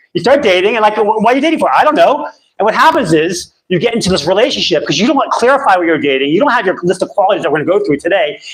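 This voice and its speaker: Racing at a very fast pace, a man speaks with very wide pitch swings. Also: hardly any pauses. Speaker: dating coach. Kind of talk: live seminar. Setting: stage with audience. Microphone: too loud, rumble, held too close.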